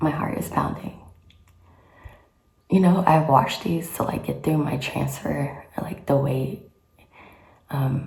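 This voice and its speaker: A woman whispers at a fairly slow pace with long, frequent pauses. Audible room echo surrounds her voice. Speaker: vlogger. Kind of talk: personal vlog. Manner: whispering.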